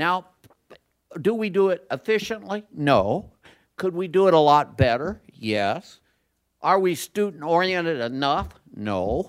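High-pitched and fairly slow, a man speaks with very wide pitch swings and long, frequent pauses. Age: 70s. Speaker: economics professor. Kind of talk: panel discussion.

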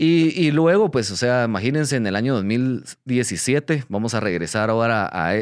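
Lively intonation marks this man's medium-pitched voice, with hardly any pauses at a fairly slow pace. The background is quiet. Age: 30s. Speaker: crypto company CEO and podcast host. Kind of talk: casual explainer monologue. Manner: hesitant, many fillers.

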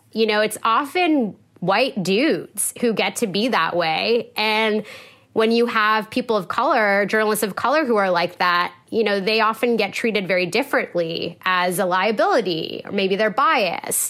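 An unremarkable speaking voice at a moderate pace, lively in intonation and very even in loudness, on a very clean recording with a silent background. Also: woman, fairly high pitch for a woman. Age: 30s. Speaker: journalist. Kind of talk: casual chat.

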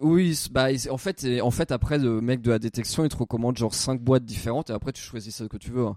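The sound is dry and close, without any echo. This man's voice has a dark, mellow tone. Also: medium pitch for a man, ordinary pitch variation, fairly quick pace. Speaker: comedy podcast co-host, amateur youtuber. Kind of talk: casual chat. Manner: halting.

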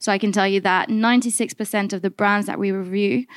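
Heard on a very clean recording with a silent background and a dry, close sound with no echo, a woman speaks at a medium pitch and fairly quick pace in a normal speaking voice. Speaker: policy and research campaigner. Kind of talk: panel discussion. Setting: live panel with audience.

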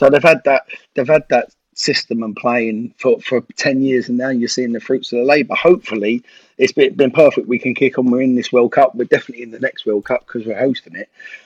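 In a London accent, a man speaks at a fairly quick pace and medium pitch with ordinary pitch variation and big swings in loudness, in a dry, close sound with no echo. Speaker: former footballer and youth coach. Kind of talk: casual chat.

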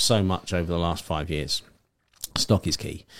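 A man talks at a moderate pace in a very deep, low voice, recorded very cleanly against a silent background. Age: 30s. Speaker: company director. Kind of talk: casual chat.

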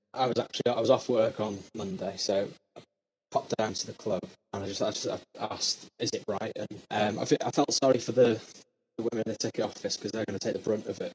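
A man with a medium-pitched, somewhat breathy voice talks at a very fast pace with fairly even intonation. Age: 20s. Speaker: supporter interviewed. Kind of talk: casual interview.

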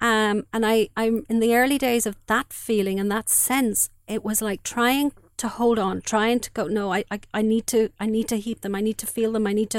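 The voice has an Irish accent and a monotone, flat intonation at a moderate pace. The recording is very clean and dry, close with no echo and a silent background. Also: woman, fairly high pitch for a woman. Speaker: bereaved mother. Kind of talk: testimony. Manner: halting.

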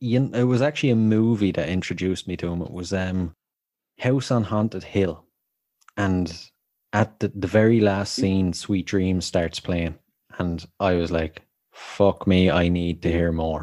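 With an Irish accent, a man with a very deep, low pitch and a dark, mellow tone speaks at a fairly slow pace with ordinary pitch variation against a quiet background. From Ireland. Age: 30s. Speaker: podcast host. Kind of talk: casual chat.

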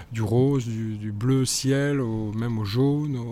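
The man's voice has a dark, mellow tone at a medium pitch. His intonation is fairly even. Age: 50s. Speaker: communications director. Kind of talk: interview. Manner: halting.

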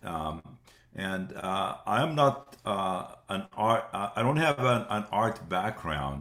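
Pausing long and often, a man speaks very slowly at a fairly low pitch, his bright, sharp tone moving in very wide pitch swings. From West Bank, Palestine. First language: Arabic. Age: 70s. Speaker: museum founder and director. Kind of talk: interview. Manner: hesitant, many fillers.

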